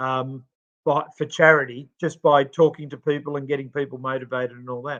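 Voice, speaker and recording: With an Australian accent, a man speaks at a fairly quick pace and a fairly high pitch, his intonation monotone and flat while his loudness swings widely. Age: 60s. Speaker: podcast co-host and charity CEO. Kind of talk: podcast interview. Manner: hesitant, many fillers.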